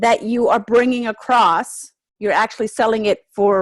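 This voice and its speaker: A woman with a German accent talks at a moderate pace in a fairly high pitch. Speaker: NLP trainer. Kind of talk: webinar presentation. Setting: home office. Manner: energetic, high action.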